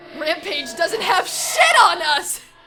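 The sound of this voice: In a put-on character voice with a bright, sharp tone, a woman speaks slowly at an extremely high pitch with big pitch swings while faint music plays in the background.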